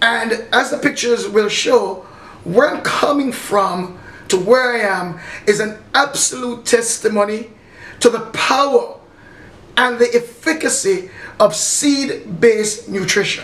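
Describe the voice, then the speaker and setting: The speech comes at a fairly slow pace. Noticeable background noise sits behind it. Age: 60s. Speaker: martial arts instructor and health product distributor. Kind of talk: testimony. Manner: unscripted, slurring at times.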